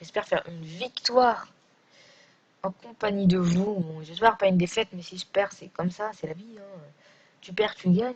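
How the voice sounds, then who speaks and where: A woman speaks at medium pitch and a moderate pace, somewhat breathy, with ordinary pitch variation. Her loudness swings widely, and she leaves long, frequent pauses. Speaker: gaming youtuber. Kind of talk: gameplay commentary. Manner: hesitant.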